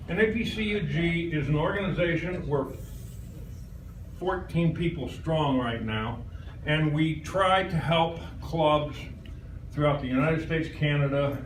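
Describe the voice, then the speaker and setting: Amid audible room echo and noticeable background noise, a man speaks at a fairly slow pace in a fairly high pitch, with ordinary pitch variation and long, frequent pauses. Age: 70s. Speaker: visiting presenter at a computer user group. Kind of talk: live presentation to an audience. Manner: casual and chatty.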